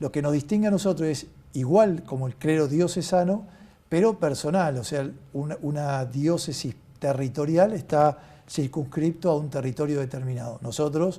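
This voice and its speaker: Somewhat breathy and dark, mellow in tone, a man talks at a moderate pace with a fairly high pitch and ordinary pitch variation. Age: 60s. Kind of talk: interview.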